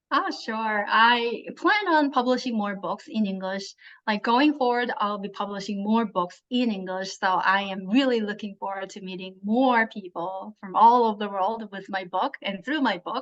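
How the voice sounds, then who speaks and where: Speaking with a Korean accent at a moderate pace and hardly any pauses, a woman uses a fairly high pitch and ordinary pitch variation. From South Korea. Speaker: translator and author. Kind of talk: interview.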